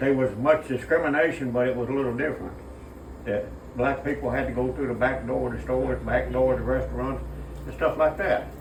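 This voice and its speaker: With an Appalachian accent, a man talks at a fairly quick pace over noticeable background noise and audible room echo. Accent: Appalachian Southern US. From Kentucky mountains, US. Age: 80s+. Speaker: elderly interviewee sharing life memories. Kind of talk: casual street interview.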